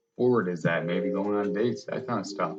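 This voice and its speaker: A man's fairly quick speech is heard with music in the background. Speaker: podcast host. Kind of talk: casual chat. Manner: stutters at times.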